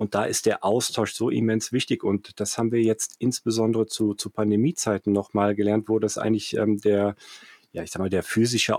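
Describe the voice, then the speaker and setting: A man with a fairly low pitch talks at a fairly quick pace in a flat monotone. The recording is very clean, dry and close, with a silent background and no echo. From Germany, Cologne (Rhineland). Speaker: finance entrepreneur, startup managing director. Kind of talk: interview. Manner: halting, many fillers and repetitions.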